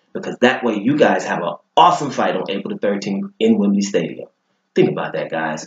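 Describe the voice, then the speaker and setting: Vocal fry runs through this man's moderate-paced speech, which has very wide pitch swings. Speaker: boxing commentary vlogger. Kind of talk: opinion monologue to camera. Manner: animated.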